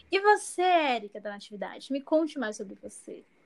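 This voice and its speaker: A woman is speaking. Her pace is fairly slow. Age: 20s. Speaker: podcast co-host, English teacher. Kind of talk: casual chat.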